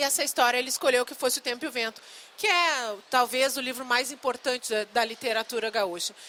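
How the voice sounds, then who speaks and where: A woman with a strong southern Brazilian accent talks at a fairly quick pace with a high pitch and ordinary pitch variation. Noticeable background noise is present. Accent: gaúcho, strong. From Rio Grande do Sul, Brazil. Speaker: novelist and screenwriter. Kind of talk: live talk with audience. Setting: book fair stand with audience.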